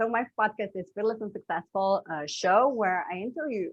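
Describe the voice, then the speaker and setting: Moderate pace in a Slovene accent, with ordinary pitch variation and a dry, close sound free of echo. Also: woman. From Slovenia. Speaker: business coach. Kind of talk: interview conversation. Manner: halting.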